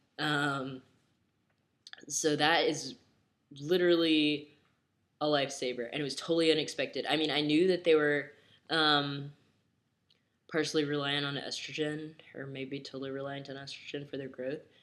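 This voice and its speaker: A man talks at a moderate pace in a monotone, flat intonation, with long, frequent pauses. The recording is very clean, with a silent background. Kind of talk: casual talk to camera.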